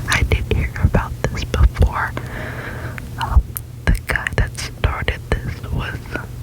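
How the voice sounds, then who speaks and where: A woman whispers at a very slow pace with long, frequent pauses. Background noise is noticeable. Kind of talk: reading random facts with casual comments. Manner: whispered, close-up.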